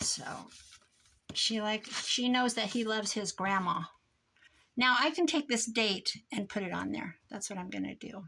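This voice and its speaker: A woman mumbles at a fairly high pitch with vocal fry and a bright, sharp tone. She keeps a moderate pace and ordinary pitch variation, with long, frequent pauses. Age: old. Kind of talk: crafting tutorial with casual chat. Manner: mumbling.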